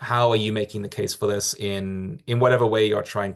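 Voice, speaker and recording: In an English accent, a man with a fairly low pitch talks at a fairly quick pace with fairly even intonation over a quiet background. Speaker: accreditation program staff presenter. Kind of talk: webinar Q&A. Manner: halting, many fillers and repetitions.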